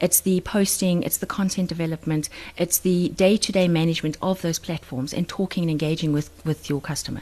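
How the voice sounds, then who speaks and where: At a fairly quick pace with hardly any pauses, a woman speaks in a dark, mellow tone, her fairly low pitch held to fairly even intonation. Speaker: social media marketing consultant. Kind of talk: podcast interview. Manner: fast.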